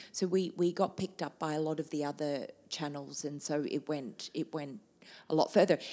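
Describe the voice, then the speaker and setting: With an Australian accent, a woman talks at a moderate pace. Her very deep, low voice has a dark, mellow tone. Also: fairly even intonation. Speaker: TV cooking show host. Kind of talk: interview conversation.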